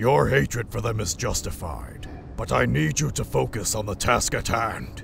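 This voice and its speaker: A man in a put-on character voice, very deep and low in pitch, at a moderate pace over clear background noise. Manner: stern, authoritative.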